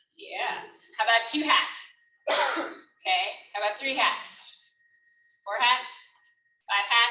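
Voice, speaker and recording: At a very slow pace with long, frequent pauses, a woman speaks at a fairly high pitch in a bright, sharp tone, with ordinary pitch variation and audible room echo. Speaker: life coach. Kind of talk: workshop talk. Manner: animated.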